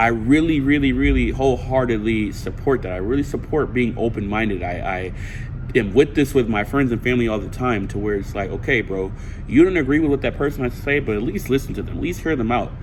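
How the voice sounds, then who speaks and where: With audible room echo and noticeable background noise, a man at a medium pitch speaks at a very fast pace with ordinary pitch variation. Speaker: student. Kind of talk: class speech recorded to camera. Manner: animated.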